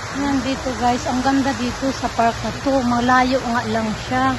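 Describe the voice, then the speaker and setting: A woman's high-pitched, flat, monotone voice at a fairly slow pace, with audible room echo and noticeable background noise. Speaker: vlogger. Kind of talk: casual vlog narration. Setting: outdoors in a park.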